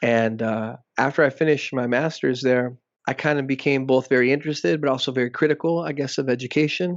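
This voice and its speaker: A man at a very fast pace, with a quiet background. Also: medium pitch for a man, ordinary pitch variation. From South Texas and Mexico border region. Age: 30s. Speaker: professor. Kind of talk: interview.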